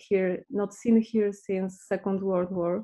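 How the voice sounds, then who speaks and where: Here a woman speaks with a Polish accent at medium pitch. Her intonation is monotone and flat. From Poland. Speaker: visual artist and activist. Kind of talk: artist presentation in interview.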